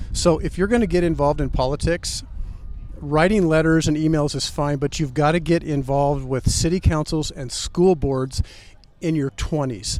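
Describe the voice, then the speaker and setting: A man with a plain, everyday voice, fairly high pitch, ordinary pitch variation, and a moderate pace. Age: 60s. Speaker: political commentator guest. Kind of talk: interview. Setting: outdoors in front of the corn palace.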